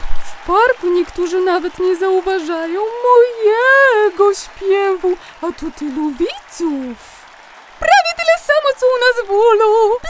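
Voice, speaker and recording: A put-on character voice with an extremely high pitch and a cheerful tone talks at a fairly slow pace. Clear background noise runs underneath. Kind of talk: children's bedtime audio play. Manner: chirpy, cheerful.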